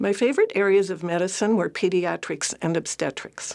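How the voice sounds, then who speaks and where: With a Canadian accent, a woman speaks in a normal speaking voice at a moderate pace and fairly low pitch, with ordinary pitch variation, in a very clean recording over a silent background. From Ottawa, Canada. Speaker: retired family physician. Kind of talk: personal memoir talk.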